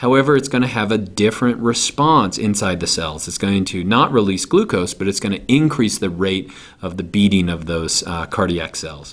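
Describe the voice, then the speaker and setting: A man with a plain, everyday voice, fairly low in pitch, at a moderate pace with lively intonation and hardly any pauses. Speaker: teacher. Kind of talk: lecture.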